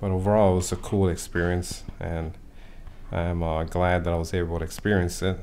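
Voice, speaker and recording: A man with a very deep, low pitch, plus audible room echo. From Chicago, Puerto Rican family. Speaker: interviewee. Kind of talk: family oral history interview. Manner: hesitant, many fillers.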